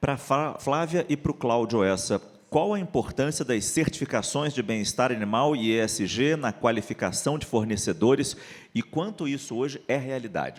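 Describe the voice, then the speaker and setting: At a moderate pace, a man with a normal speaking voice speaks at a medium pitch with lively intonation. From Rio de Janeiro, Brazil. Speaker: journalist moderator. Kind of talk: panel discussion.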